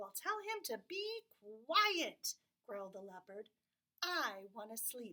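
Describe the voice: Someone reads aloud plainly while the background stays quiet.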